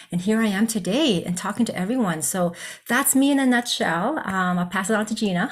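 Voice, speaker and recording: In a Canadian accent, a woman talks at a fairly quick pace. Her voice is somewhat breathy. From Canada, Regina and Calgary. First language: Cantonese. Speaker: psychologist. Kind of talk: presentation.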